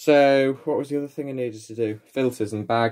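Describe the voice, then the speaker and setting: In a northern English accent, a man speaks with fairly even intonation. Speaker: vacuum repair hobbyist. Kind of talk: tutorial. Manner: casual, chatty. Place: home room. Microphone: phone near.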